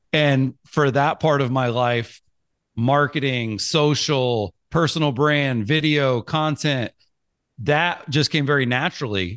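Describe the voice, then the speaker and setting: The sound is dry and close with no echo, over a quiet background. A man speaks at a very slow pace with very even loudness and fairly high pitch. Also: ordinary pitch variation. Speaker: marketing entrepreneur and author. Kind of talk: casual interview conversation. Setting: podcast interview.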